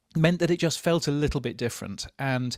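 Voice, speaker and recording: A man at a fairly quick pace, ordinary pitch variation, and a dry, close sound with no echo. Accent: British. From England. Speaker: podcast industry journalist. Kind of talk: casual panel discussion. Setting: remote from a hotel.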